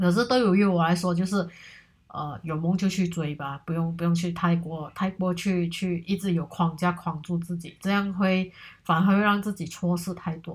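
A woman speaks in a somewhat breathy voice. Her intonation stays fairly even. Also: moderate pace. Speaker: solo podcast host. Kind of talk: casual monologue. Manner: hesitant, many fillers.

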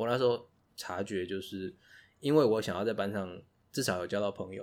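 Speaking at a fairly quick pace with a Taiwanese accent, a man uses a fairly low pitch with ordinary variation, on a very clean recording with a silent background. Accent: Taiwanese Mandarin. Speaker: podcast co-host. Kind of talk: casual chat.

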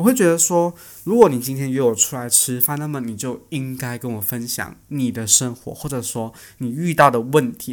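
Heard on a very clean recording with a silent background, a man speaks at medium pitch and a moderate pace with ordinary pitch variation. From Malaysia. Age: 20s. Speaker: podcast host, student. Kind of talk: casual solo podcast talk. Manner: chatty, animated.

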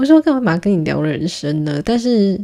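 On a very clean recording with a silent background, a woman speaks at a moderate pace in a dark, mellow tone with ordinary pitch variation. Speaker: podcast host, PR professional. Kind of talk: casual solo monologue. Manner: laughs often, filler-heavy.

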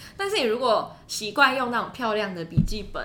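With audible room echo and noticeable background noise, a woman speaks at a fairly quick pace. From Taiwan. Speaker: international student, podcaster. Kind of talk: casual chat.

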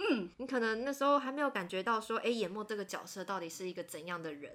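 A woman speaks at a very fast pace with a fairly high pitch and very wide pitch swings. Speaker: podcast host, anime editor. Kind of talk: casual chat.

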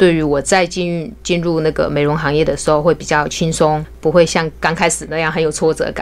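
A woman's very deep, low voice in a monotone, flat delivery at a fairly quick pace, amid noticeable background noise. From Hunan, China. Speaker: beauty salon owner. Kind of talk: casual interview chat. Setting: studio.

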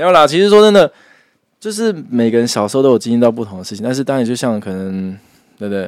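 A man speaks at a very fast pace with a medium pitch, lively intonation, and big swings in loudness. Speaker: podcast co-host. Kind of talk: casual chat.

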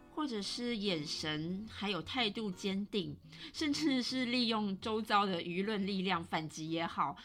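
On a very clean recording with a silent background, a woman speaks slowly-ish at a fairly slow pace, with a Taiwanese accent, medium pitch and lively intonation. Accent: Taiwanese Mandarin. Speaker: podcast host. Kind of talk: solo podcast monologue. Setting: home recording.

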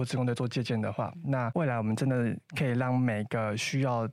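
A man with an unremarkable speaking voice talks fairly quickly at a medium pitch with ordinary pitch variation, in a very clean recording with a silent background. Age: 20s. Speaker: coding instructor and student volunteer team leader. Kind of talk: interview.

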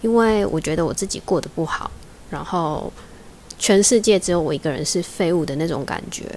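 This woman talks at a moderate pace in a fairly low pitch, her intonation lively. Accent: Taiwanese. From Taiwan. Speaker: podcast host, job seeker. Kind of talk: casual solo talk. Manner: unnatural, phone-trained voice.

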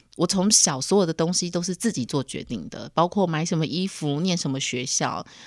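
In a very clean recording with a silent background, a woman with a fairly low pitch talks at a fairly quick pace, with ordinary pitch variation and hardly any pauses. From Taiwan. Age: 40s. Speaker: podcast host. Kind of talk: solo podcast monologue. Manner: animated.

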